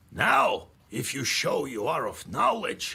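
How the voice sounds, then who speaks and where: In a raspy, stern put-on character voice, a man talks at a fairly slow pace. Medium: video game. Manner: stern, gruff.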